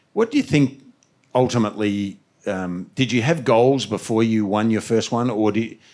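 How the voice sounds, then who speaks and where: On a very clean recording with a silent background, a man with an Australian accent talks at medium pitch and a moderate pace, with ordinary pitch variation. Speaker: former tennis player and interviewer. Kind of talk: interview at live event.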